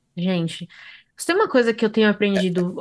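Over a quiet background, a woman speaks at a fairly quick pace with ordinary pitch variation. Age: 30s. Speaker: podcast host. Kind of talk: casual chat. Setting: video recording. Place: home room. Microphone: earbuds.

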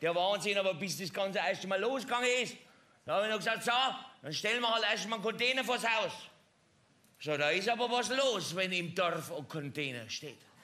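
Projecting his raised voice, a man speaks at a fairly quick pace with lively intonation. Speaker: comedian in a construction-worker costume. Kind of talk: stand-up comedy monologue. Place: stage.

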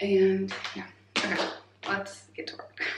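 The speaker is a woman. Noticeable background noise and audible room echo surround her voice. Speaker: lifestyle vlogger. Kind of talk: casual vlog chat. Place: bathroom. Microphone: phone near.

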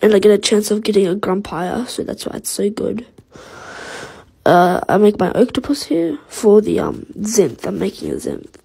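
A woman with a medium-pitched voice speaks with big swings in loudness over noticeable background noise. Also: ordinary pitch variation, moderate pace. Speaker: gaming video creator. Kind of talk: casual gameplay commentary. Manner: halting, with many fillers.

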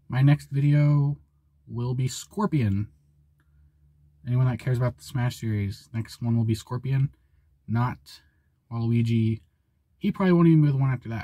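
A man with a dark, mellow tone and a somewhat breathy sound speaks at a moderate pace with ordinary pitch variation and long, frequent pauses against a quiet background. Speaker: small channel creator. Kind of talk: casual vlog chat. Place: car. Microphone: phone near.

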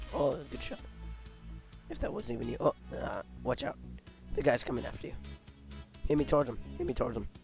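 Over music in the background, a man talks at a very fast pace but with long, frequent pauses. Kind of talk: casual gameplay commentary.

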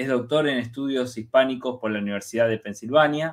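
Here a man speaks at a very fast pace. His voice is medium in pitch with ordinary pitch variation. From Argentina. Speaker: university researcher and interview co-host; interview co-host. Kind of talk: interview. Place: home room. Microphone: video call.

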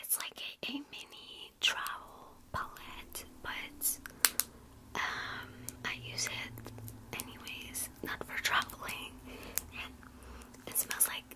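A woman speaks at a very slow pace, leaving long, frequent pauses. Loud background noise fills the clip. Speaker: makeup roleplay creator. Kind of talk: roleplay makeup chat to viewer. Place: home room. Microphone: phone near.

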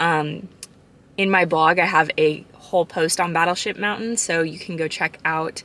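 A woman with an American accent uses an ordinary speaking voice at a fairly low pitch. Her intonation is fairly even, and the sound is dry with no echo. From Arizona, US. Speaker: travel vlogger. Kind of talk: vlog narration. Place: car. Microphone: phone near.

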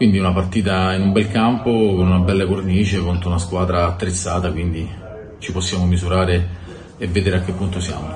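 Very deep, low male voice, monotone and flat, at a fairly quick pace amid noticeable background noise. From Rome. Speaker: football coach. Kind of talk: interview. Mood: calm, measured. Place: meeting room.

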